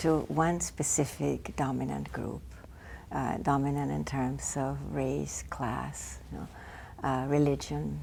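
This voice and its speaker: A woman with a very deep, low pitch speaks at a very slow pace, her voice showing vocal fry. Her pitch swings very widely, and the room echo is audible. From Argentina. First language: Spanish. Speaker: family therapist and professor. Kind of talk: interview.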